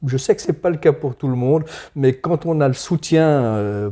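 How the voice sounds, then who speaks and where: A man with a dark, mellow tone sounds somewhat breathy, with ordinary pitch variation. He keeps a moderate pace on a very clean recording with a silent background. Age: 60s. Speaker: farmer. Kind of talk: interview. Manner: halting.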